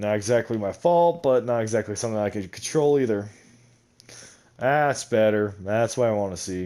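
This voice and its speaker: A man speaks at a moderate pace with a dark, mellow tone and a fairly low pitch. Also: ordinary pitch variation. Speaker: gaming YouTuber. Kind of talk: gameplay commentary. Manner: casual, rambling with self-corrections.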